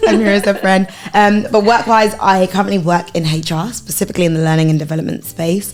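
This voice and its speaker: A woman talking very fast with hardly any pauses over noticeable background noise. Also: medium pitch for a woman, ordinary pitch variation. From Essex / East London, England. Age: 20s. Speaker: podcast guest, HR worker. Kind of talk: casual chat.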